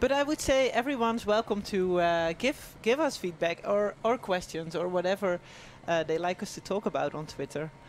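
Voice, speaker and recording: A woman with a Dutch accent talks at a moderate pace, with medium pitch and lively intonation. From Netherlands. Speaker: former pro cyclist, race commentator. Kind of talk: live race commentary.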